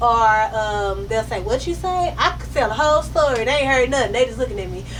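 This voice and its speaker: A woman talks at a fairly quick pace with big swings in loudness. Noticeable background noise and audible room echo are present. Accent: American. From Dallas, Texas. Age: 30s. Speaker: author. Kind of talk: author Q&A conversation at a reading. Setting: bookstore event with live audience. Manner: fast.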